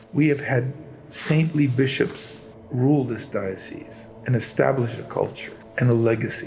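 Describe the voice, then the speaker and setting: A man at a fairly slow pace, medium pitch and fairly even intonation, against noticeable background noise. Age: 70s. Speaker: church reader, iconographer and choir director. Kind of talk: interview, reminiscing.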